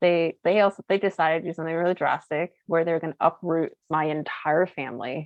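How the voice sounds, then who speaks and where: A woman with a plain, everyday voice, fairly low pitch and an American accent, at a fairly quick pace with hardly any pauses. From US West, Boulder, Colorado. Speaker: social entrepreneur. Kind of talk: interview conversation. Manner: casual, filler-heavy.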